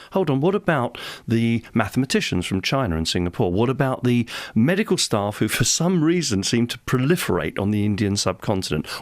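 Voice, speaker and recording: With an English accent, a man speaks at a fairly quick pace and medium pitch, his voice swinging very widely, in a very clean recording with a silent background. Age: 60s. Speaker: parliamentary candidate. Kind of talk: radio interview. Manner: animated.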